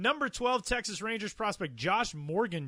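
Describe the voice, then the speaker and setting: Delivered at a fairly quick pace with lively intonation, the speech sits in a very clean recording against a silent background. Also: man. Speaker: podcast host. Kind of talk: casual podcast chat. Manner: fast.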